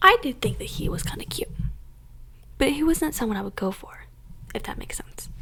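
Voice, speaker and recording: A woman whispers at a fairly quick pace with long, frequent pauses and big swings in loudness. Noticeable background noise runs underneath. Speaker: ASMR content creator. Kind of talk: whispered ASMR story time. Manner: whispered, soft, casual storytelling.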